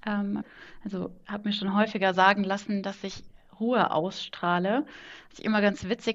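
A woman at medium pitch, monotone and flat, at a moderate pace against a quiet background. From Kaiserslautern, Palatinate, Germany. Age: 20s. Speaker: management consultant. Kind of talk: casual interview chat. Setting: home office, remote call.

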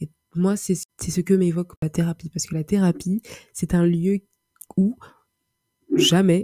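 A woman speaks at a fairly low pitch in a dark, mellow, somewhat breathy voice. Her intonation stays fairly even, and the sound is dry and close with no echo. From Paris, France. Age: 20s. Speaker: podcaster. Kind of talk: solo monologue. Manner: halting, many repetitions and fillers.

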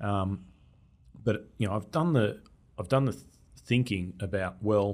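A man with an Australian accent, fairly low in pitch, with lively intonation at a moderate pace, on a very clean recording with a silent background. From Australia, Melbourne. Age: 40s. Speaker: data analytics expert. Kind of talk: casual interview. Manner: halting, many repeated words.

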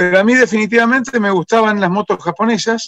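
A man with a Rosario accent speaks at a moderate pace in a high voice. The sound is dry and close, with no echo. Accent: Argentine Spanish (Rosario). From Argentina, Rosario. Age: 60s. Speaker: motorcycle restorer. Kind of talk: interview.

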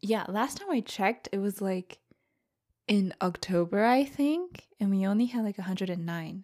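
A woman with an American accent and a normal speaking voice, medium in pitch with ordinary variation, at a moderate pace. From United States. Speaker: podcast co-host. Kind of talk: casual chat.

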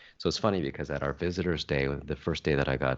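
A man talks at a very fast pace with a very deep, low pitch. His intonation is fairly even, with vocal fry. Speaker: podcast co-host. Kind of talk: casual chat.

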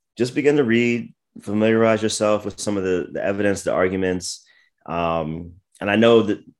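A man with an American accent and a plain, everyday voice, fairly quick pace, ordinary pitch variation, quiet background. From US East Coast (Maryland and Virginia). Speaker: pastor and apologist. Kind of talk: interview.

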